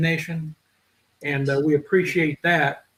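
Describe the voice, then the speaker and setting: With a Southern US accent, a man speaks in a high voice with fairly even intonation. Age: 60s. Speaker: podcast host. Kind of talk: casual chat.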